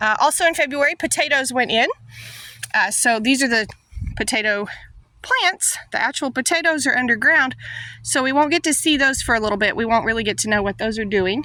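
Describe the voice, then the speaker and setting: Her tone is bright and sharp, pitched high for a woman. She moves at a fairly quick pace with lively intonation. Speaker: farmer and gardening YouTuber. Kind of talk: tutorial. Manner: casual, with many fillers.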